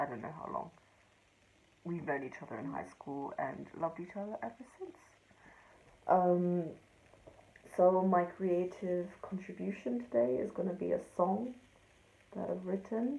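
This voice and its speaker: The voice has a dark, mellow tone and very wide pitch swings. It moves at a fairly slow pace with long, frequent pauses. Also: woman, fairly low pitch for a woman, big swings in loudness. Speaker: amateur songwriter sharing a video. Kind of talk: casual pre-recorded video intro. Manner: hesitant, many ums.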